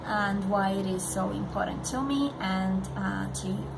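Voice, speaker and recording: A woman talks with audible room echo, noticeable background noise also present. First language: not English. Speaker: parenting vlogger. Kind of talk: direct-to-camera vlog. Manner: halting, many fillers.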